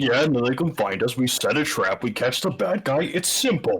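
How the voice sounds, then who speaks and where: A gruff, put-on character voice comes through. The pace is moderate. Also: man, fairly high pitch for a man. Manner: casual, confident.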